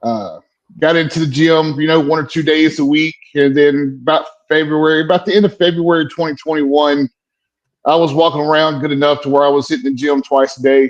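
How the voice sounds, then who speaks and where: A man with a Southern US accent talks at a fairly quick pace and a fairly high pitch, his intonation fairly even. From US South, South Carolina. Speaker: military veteran. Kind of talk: casual chat.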